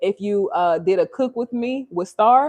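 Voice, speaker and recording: Lively intonation and an animated tone mark this voice with an American accent, heard as a dry, close sound with no echo. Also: woman. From Louisiana. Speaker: lifestyle vlogger. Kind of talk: casual chat. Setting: live stream in home kitchen.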